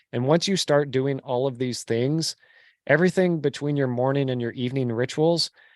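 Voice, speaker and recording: A man's normal speaking voice with an American accent, fairly high in pitch, with ordinary pitch variation at a moderate pace, dry and close with no echo. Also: very clean recording, silent background. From California, Bay Area. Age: 40s. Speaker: real estate investor. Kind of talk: podcast interview.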